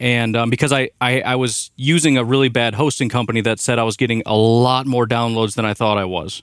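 A man's ordinary speaking voice at medium pitch and a fairly quick pace, with fairly even intonation, very even loudness and hardly any pauses, on a very clean recording with a silent background. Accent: American. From Illinois, US Midwest. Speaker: podcast host guest, sports fan. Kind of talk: casual chat. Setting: studio.

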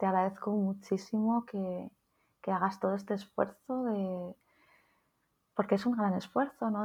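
A woman's monotone, flat voice at medium pitch, on a very clean recording with a silent background. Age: 40s. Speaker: nurse and psychotherapist. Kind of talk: interview conversation. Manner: halting.

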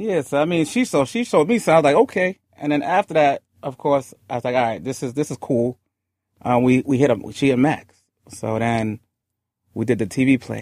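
A man with an ordinary speaking voice talks in a fairly high pitch at a fairly quick pace. The sound is dry and close, with no echo. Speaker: music manager. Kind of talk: casual interview. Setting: studio.

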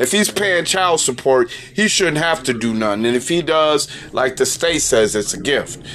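A man with a fairly high voice sounds animated, using lively intonation at a moderate pace, with noticeable background noise. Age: 40s. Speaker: video commentator. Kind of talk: solo rant monologue.

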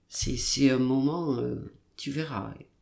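A woman's very deep, low pitch with vocal fry, plus audible room echo. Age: 70s. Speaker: podcast host's grandmother, retiree. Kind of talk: casual interview. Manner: halting.

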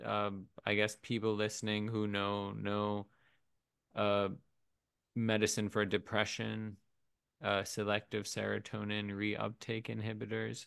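The speech is fairly slow, with monotone, flat intonation and long, frequent pauses, against a quiet background. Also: man, fairly low pitch for a man. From Pakistan. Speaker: podcast host. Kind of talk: casual interview chat. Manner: halting.

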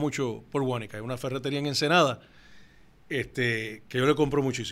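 A man at a medium pitch races along at a very fast pace on a very clean recording with a silent background. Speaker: company founder. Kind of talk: interview.

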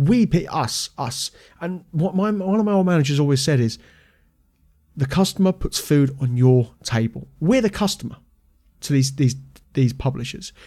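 With a British accent, a man speaks in a fairly high pitch and a dark, mellow tone that is somewhat breathy. His intonation is lively, broken by long, frequent pauses. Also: moderate pace. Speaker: podcast host and martial arts school owner. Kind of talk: angry rant about the games industry. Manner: heated, indignant, fired-up rant; informal, chatty.

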